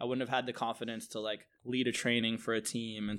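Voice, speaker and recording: A man talks at a very fast pace in a monotone, flat intonation. He has a medium pitch and an American accent. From US West Coast (San Francisco). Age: 30s. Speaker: bartender. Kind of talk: interview. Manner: casual, filler-heavy.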